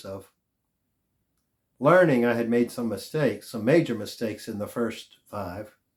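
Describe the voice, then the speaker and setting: The voice is a man's, pitched at a medium level. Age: 50s. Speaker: health vlogger. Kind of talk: casual monologue.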